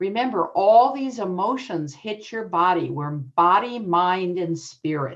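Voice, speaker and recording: Lively in intonation, a woman with an unremarkable speaking voice and medium pitch talks at a fairly slow pace. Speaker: adoption educator and author. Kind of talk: conference presentation.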